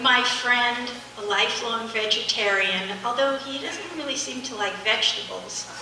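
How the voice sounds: A soft-spoken woman with a fairly high pitch, a fairly slow pace, ordinary pitch variation and audible room echo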